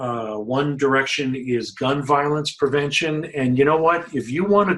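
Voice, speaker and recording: Using a plain, everyday voice, a man with a fairly high pitch speaks at a moderate pace with ordinary pitch variation. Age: 60s. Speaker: health journalism watchdog, site founder. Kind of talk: webinar presentation. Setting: online webinar.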